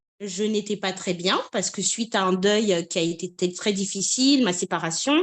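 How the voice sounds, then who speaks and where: The quiet background leaves only one voice. A woman talks at a fairly slow pace. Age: 30s. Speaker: patient giving a testimonial. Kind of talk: testimony. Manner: hesitant, many fillers.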